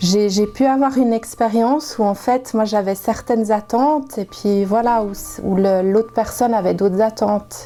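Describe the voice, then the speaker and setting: Over music in the background, a woman speaks fairly slowly at a fairly high pitch, with very even loudness and fairly even intonation. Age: 40s. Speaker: nurse. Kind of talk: interview answer.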